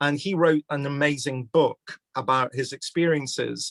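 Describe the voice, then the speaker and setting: The speaker talks with a Glaswegian accent. The sound is dry and close, with no echo. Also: man. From Scotland, Glasgow. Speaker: criminology professor. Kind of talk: public conversation event.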